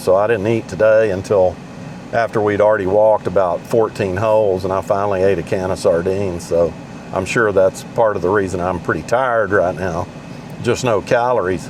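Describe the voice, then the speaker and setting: Fairly even intonation under noticeable background noise. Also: man. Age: 60s. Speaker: amateur golf vlogger. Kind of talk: casual vlog monologue. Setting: in a car. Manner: halting.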